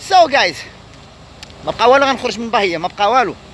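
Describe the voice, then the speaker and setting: A man's voice with ordinary pitch variation, dry sound with no echo and noticeable background noise. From Morocco. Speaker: travel vlogger. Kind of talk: vlog narration. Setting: outdoors. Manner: animated. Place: street. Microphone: phone near.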